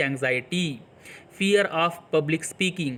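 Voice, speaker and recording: Here a man speaks with a Marathi accent. His pitch is high, with ordinary variation. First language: Marathi (speaking Hindi). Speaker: English teacher. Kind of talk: tutorial.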